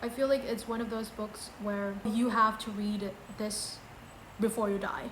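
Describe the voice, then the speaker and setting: With a non-native accent, a woman talks fairly slowly in a fairly high, flat, monotone voice, and room echo is audible. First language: not English. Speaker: book vlogger. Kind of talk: casual book ranking video.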